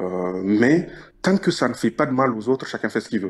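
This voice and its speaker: Delivered at a very fast pace with a Nigerien accent, the speech is on a very clean recording with a silent background. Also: man. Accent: Nigerien French accent, noticeable. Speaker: caller in a radio debate. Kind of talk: debate.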